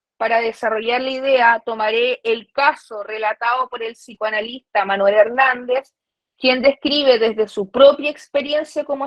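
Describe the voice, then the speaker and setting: A woman with a high pitch speaks at a fairly slow pace. Her intonation stays fairly even. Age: 20s. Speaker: psychoanalysis researcher and author. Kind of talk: academic lecture read from a paper. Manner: formal.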